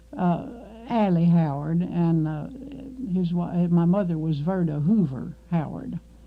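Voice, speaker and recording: At a fairly slow pace and with ordinary pitch variation, this voice is heard with audible room echo. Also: woman, fairly low pitch for a woman. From Kentucky, Marshall County. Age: 60s. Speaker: oral history interviewee. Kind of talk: oral history interview. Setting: radio studio. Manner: halting, many fillers.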